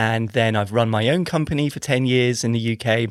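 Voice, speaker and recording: A man with an English accent at a medium pitch, fairly even in intonation, on a very clean recording with a silent background. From England. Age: 40s. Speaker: engineer and startup founder. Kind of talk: podcast interview. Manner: hesitant, with fillers and repetitions.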